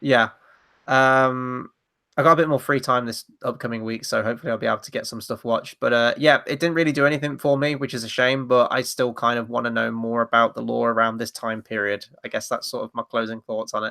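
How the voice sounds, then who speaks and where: A man with a British accent, very fast pace, fairly even intonation and bright, sharp tone, on a very clean recording with a silent background and a dry, close sound with no echo. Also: medium pitch for a man. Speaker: film review show co-host. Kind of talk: casual chat.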